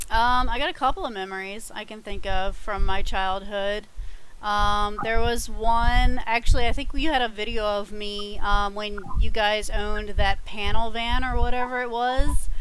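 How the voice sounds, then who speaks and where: Recorded with audible room echo, a woman speaks at a fairly high pitch with fairly even intonation and big swings in loudness. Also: moderate pace. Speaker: family member guest. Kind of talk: casual chat.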